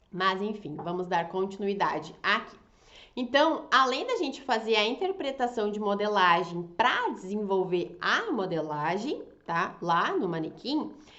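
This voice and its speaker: Amid noticeable background noise and audible room echo, a woman speaks at a medium pitch with lively intonation. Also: fairly slow pace. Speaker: fashion designer and draping teacher. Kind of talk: online class. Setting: Instagram live. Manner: animated.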